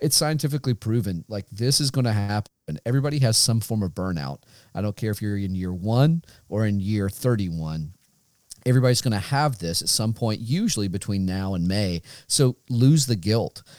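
An ordinary speaking voice moves at a fairly quick pace with lively intonation, recorded with a dry, close sound and no echo. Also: man, fairly low pitch for a man. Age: 40s. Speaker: high school band director, podcast co-host. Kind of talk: casual chat.

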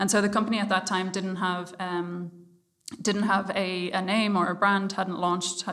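A woman with an Irish accent speaks in a medium pitch at a moderate pace with monotone, flat intonation. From Ireland. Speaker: startup founder. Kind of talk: interview. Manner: hesitant, many fillers.

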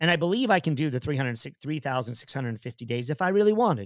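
A man speaks very fast at a fairly high pitch, his voice swinging very widely in pitch, on a very clean recording with a silent background and a dry, close sound with no echo. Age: 50s. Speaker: podcast host and running coach. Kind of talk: casual chat. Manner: halting with many fillers.

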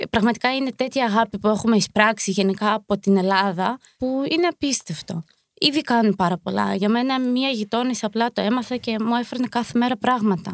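A woman with an ordinary speaking voice talks at a moderate pace with a fairly high pitch and ordinary pitch variation, the sound dry and close with no echo on a very clean recording with a silent background. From Ukraine, moved to Greece at 11. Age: 20s. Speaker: member of a Ukrainian women's community. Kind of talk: interview.

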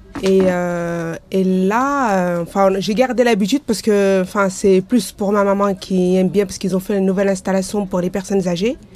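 Her intonation fairly even, a woman speaks at a medium pitch and a moderate pace. She leaves hardly any pauses. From Lyon area, France. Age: 40s. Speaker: bathhouse user. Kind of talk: interview testimony. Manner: halting, many fillers.

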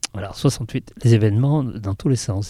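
Fairly low in pitch, a man speaks in a dark, mellow tone at a moderate pace with ordinary pitch variation. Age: 70s. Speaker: film production designer. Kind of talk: interview.

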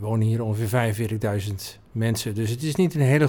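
Fairly quick male speech in a normal speaking voice, pitched medium. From Netherlands, North Brabant (Oudheusden). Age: 50s. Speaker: business owner. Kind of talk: interview. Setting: office.

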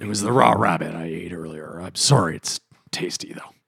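A raspy, put-on character voice with lively intonation at a fairly quick pace. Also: man, very deep, low pitch for a man. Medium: actual play.

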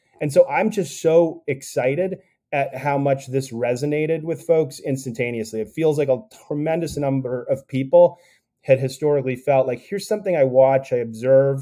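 A man speaks in a fairly high voice with a dark, mellow tone. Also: ordinary pitch variation, moderate pace. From US Northeast (Connecticut). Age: 40s. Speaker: tech startup founder. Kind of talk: interview conversation.

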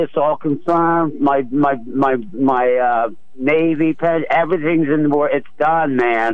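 Here a man with an American accent uses ordinary pitch variation in an unremarkable speaking voice. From Philadelphia. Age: 60s. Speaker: retired Navy veteran, caller. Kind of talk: call-in radio conversation.

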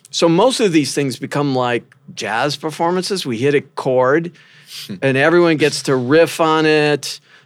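An unremarkable speaking voice with an American accent, moving at a fairly slow pace with ordinary pitch variation. The recording is very clean, with a silent background. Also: man, fairly high pitch for a man. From US Midwest (rural Minnesota). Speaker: professor. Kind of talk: interview.

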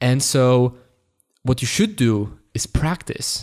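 Speaking with a slight Polish accent, a man uses a medium pitch and lively intonation. The recording is very clean, with a silent background. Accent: lightly Polish-accented English. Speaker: podcast co-host, app developer. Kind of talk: casual chat. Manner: halting, repeats words.

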